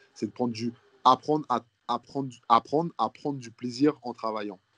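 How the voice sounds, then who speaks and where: A man's medium-pitched voice, an unremarkable speaking voice, at a moderate pace with fairly even intonation and a dry, close sound with no echo. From Guadeloupe. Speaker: professional basketball player. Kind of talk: interview.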